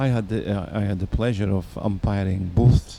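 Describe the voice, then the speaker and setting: This man has a very deep, low pitch and a dark, mellow tone that is somewhat breathy. He talks at a fairly slow pace with ordinary pitch variation. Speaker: bowls umpire and co-commentator. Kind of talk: live commentary.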